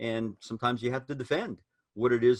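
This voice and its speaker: A man with a plain, everyday voice speaks at medium pitch with ordinary pitch variation, the sound dry and close with no echo. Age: 60s. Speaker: preacher. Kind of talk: casual discussion among preachers.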